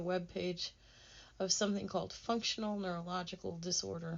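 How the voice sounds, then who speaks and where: A woman speaks at a fairly quick pace in a medium pitch, her intonation flat and monotone. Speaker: author reading own memoir. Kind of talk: reading aloud.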